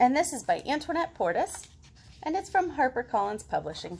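A woman speaks at a high pitch and a fairly quick pace. Her voice has vocal fry and big pitch swings.

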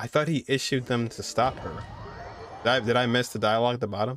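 Speaking at a fairly quick pace, a man uses a medium pitch, a fairly bright tone, and fairly even intonation.

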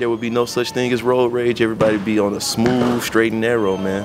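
Over noticeable background noise, a speaker with an American accent moves along at a fairly quick pace. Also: man. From South Memphis, Tennessee; Tennessee. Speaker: interviewee, local resident; interviewee. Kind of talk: street interview. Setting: outdoors at a park. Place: open country. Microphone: handheld.

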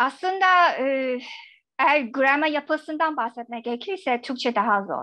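Over a quiet background, a raised, projected voice with a Chinese accent moves at a fairly slow pace with lively intonation. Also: woman, high pitch for a woman. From China. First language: Chinese (speaking Turkish). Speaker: academic; guest. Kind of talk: radio interview; interview answer. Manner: halting. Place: home room. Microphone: video call.

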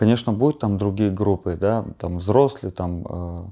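A man speaks at a fairly low pitch and a moderate pace, his tone dark and mellow. The background is quiet. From Armenia. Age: 20s. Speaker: bare-knuckle fighter; interview guest. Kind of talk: interview. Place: home room.

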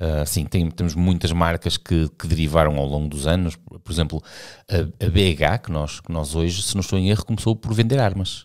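A man speaks in a European Portuguese accent with a very deep, low pitch. The background is quiet. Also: ordinary pitch variation, moderate pace. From Portugal. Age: 50s. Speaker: cycling podcast host. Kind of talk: casual chat. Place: studio. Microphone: studio mic.

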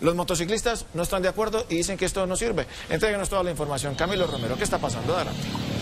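Talking very fast at a high pitch for a man, a man is heard over noticeable background noise. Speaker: news anchor. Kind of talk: news reading. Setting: studio. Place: studio. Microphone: lapel.

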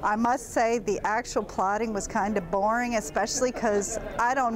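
At a moderate pace, a woman talks with fairly even intonation while faint music plays in the background. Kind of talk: interview answer. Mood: cheerful, amused. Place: studio. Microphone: lapel.

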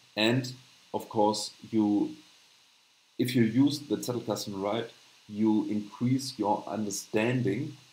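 In a room with audible echo, a man with a German accent speaks very slowly at a fairly low pitch with fairly even intonation. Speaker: channel host, note-taking educator. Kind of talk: live stream tutorial with chat Q&A. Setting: live stream with screen share. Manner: halting, many fillers. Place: home room. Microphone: webcam.

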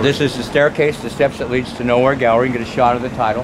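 Over noticeable background noise, a man speaks at medium pitch and a very fast pace. His intonation is monotone and flat. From Portland, Oregon. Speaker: street artist and poet. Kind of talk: interview answer. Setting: outdoors. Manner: fast, rapid-fire. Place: street. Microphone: phone near.

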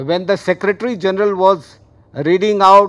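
The speech moves at a fairly slow pace over a quiet background. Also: man. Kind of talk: formal speech. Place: hall. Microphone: podium.

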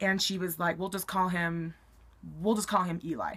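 The tone is bright and sharp. A woman speaks with an American accent. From Colorado, US. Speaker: YouTuber. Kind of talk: storytelling vlog. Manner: casual, many fillers. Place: home room. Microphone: webcam.

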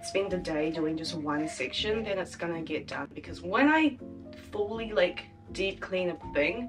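The pace is fairly slow. Music plays clearly in the background. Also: woman, fairly low pitch for a woman. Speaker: university student vlogger. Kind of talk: casual vlog chat. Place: home room. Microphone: camera far.

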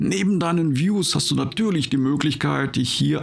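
A man talks while faint music sounds in the background. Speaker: gaming video creator. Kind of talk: casual gameplay commentary; casual channel introduction. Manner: calm.

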